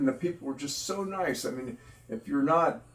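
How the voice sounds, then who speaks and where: A man speaks at a fairly high pitch with an American accent, a moderate pace and ordinary pitch variation, over noticeable background noise. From US South. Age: 70s. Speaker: patient. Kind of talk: interview. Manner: halting, many fillers and repeats.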